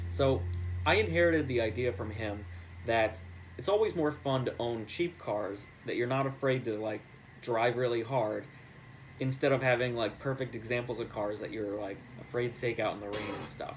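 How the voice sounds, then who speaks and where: A man with an American accent talks at a moderate pace, his medium-pitched voice somewhat breathy and showing ordinary pitch variation. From New York. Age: 20s. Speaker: real estate agent and car enthusiast. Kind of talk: contest submission video, casual monologue. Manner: casual, filler-heavy.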